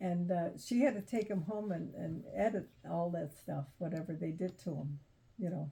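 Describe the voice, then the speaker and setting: A woman speaks at a fairly low pitch with vocal fry. Her pace is moderate and her pitch variation ordinary. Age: 90s. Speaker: elderly relative telling family stories. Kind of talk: casual family interview. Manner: halting.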